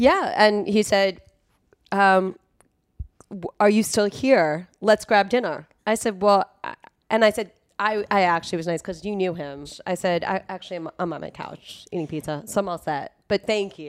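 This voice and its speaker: A woman talks at a moderate pace in an unremarkable speaking voice, medium in pitch with ordinary pitch variation. The recording is very clean, with a silent background. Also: big swings in loudness. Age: 40s. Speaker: music industry promotions executive. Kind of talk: casual chat.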